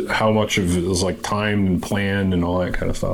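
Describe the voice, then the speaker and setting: Noticeable background noise sits behind a man with an American accent who talks at a fairly low pitch with ordinary pitch variation. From US Northeast (Massachusetts). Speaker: podcast host and military veteran. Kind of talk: casual interview chat.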